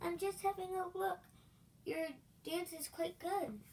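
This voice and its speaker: A woman uses a squeaky, put-on character voice at an extremely high pitch and a fairly slow pace, with clear background noise. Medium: read story. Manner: playful, giggly.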